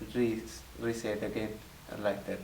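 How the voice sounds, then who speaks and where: Audible room echo plus noticeable background noise. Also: man. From Sri Lanka. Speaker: international student. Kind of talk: interview testimony. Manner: halting.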